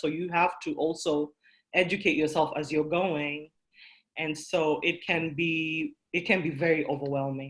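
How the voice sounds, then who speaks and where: A woman speaks with a non-native accent. Her pitch is very deep and low, with fairly even intonation. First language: not English. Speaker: workshop presenter, coding student and small business owner. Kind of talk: online workshop talk.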